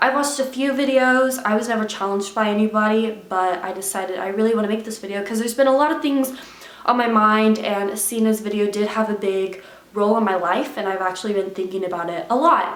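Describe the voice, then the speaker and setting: Against noticeable background noise and audible room echo, a woman talks at a very fast pace. Her pitch sits fairly high, with ordinary variation. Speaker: YouTuber. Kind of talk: unscripted confessional vlog. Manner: stutters, stumbles over words.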